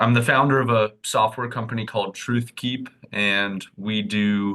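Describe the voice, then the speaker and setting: The voice has a bright, sharp tone and a General American accent, moving at a moderate pace with fairly even intonation. The background is quiet. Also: man. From Arizona, US. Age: 20s. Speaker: tech startup founder. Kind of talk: podcast interview.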